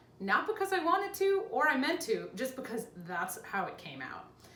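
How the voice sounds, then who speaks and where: In a room with audible echo and noticeable background noise, a woman speaks at a high pitch in an animated tone, with very wide pitch swings at a moderate pace. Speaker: lifestyle vlogger with chronic illness. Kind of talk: casual vlog talk to camera.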